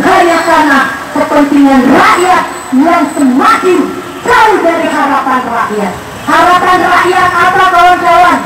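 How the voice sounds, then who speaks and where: Over loud background noise and audible room echo, a woman talks at a fairly slow pace with ordinary pitch variation. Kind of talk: protest speech. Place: street.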